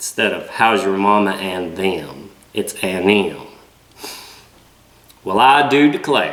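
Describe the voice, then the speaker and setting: A strong Southern US accent at a very slow pace. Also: man. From Southern United States. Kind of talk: casual talk to camera.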